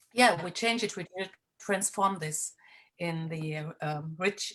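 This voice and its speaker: With a German accent, a woman speaks at a fairly slow pace, her fairly low pitch showing ordinary variation. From Germany. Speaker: healer and moon mother. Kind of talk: sharing in an online women's circle. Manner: halting, many fillers.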